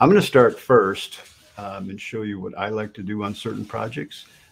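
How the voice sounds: A man with fairly low pitch, vocal fry, a slightly husky edge, ordinary pitch variation and a moderate pace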